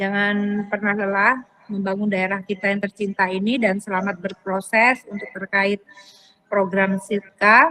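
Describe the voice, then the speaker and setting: A woman speaks fairly slowly with a strong Javanese accent. Her medium-pitched delivery is flat and monotone. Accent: thick Javanese. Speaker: event closer/official. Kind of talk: closing remarks.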